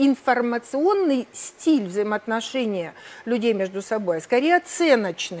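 A woman talks in a high-pitched voice. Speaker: professor. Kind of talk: conference talk. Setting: stage with audience. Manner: formal. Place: studio.

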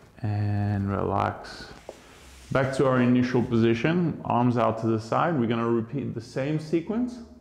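Audible room echo surrounds a man's calm, soothing tone and ordinary pitch variation. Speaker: yoga teacher. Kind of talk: guided yoga class instruction, breath-paced cues. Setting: online video class. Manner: calm, slow, soothing, instructive; rhythmic, paced with breathing, repeating counts. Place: home room.

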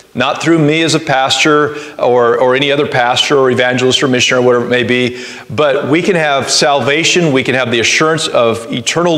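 This man talks at a fairly quick pace, keeping his loudness very even. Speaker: pastor. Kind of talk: sermon. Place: church.

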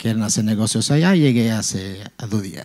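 Against a quiet background, a man speaks at a moderate pace in a dark, mellow tone with ordinary pitch variation. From Italy. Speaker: chamber of commerce president; audience member. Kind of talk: audience question. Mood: warm, smiling, anecdotal. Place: hall. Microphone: handheld.

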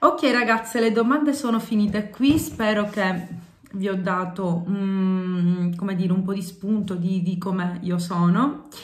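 A woman's somewhat breathy voice, quiet background, audible room echo. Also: ordinary pitch variation, fairly slow pace. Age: 30s. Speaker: YouTuber, home and cleaning vlogger; YouTuber, cleaning vlogger. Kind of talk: casual vlog, answering tag questions. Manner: hesitant, many fillers. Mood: warm, cheerful. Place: home room. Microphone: phone near.

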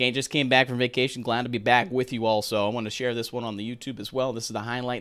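Against a quiet background, a man with a medium pitch sounds energetic and enthusiastic. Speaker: live game commentator / streamer. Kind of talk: casual intro to camera. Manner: energetic, enthusiastic. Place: home room. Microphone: studio mic.

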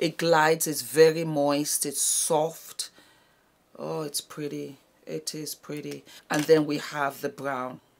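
A woman talks at a very slow pace with a very deep, low pitch and big swings in loudness. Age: 50s. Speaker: beauty YouTuber. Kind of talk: product unboxing. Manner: animated. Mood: upbeat, chatty.

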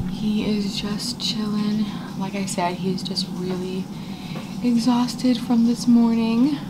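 Against loud background noise, a woman speaks at a very slow pace. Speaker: new mother vlogger. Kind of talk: casual vlog chat.

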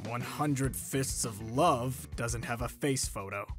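A man's put-on character voice, medium in pitch and fairly slow, over clear background music. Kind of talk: comic dub.

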